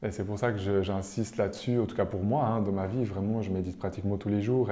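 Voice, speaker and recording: A man talks fairly quickly in a fairly low voice with a dark, mellow tone. His intonation stays fairly even. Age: 30s. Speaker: medium. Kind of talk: interview.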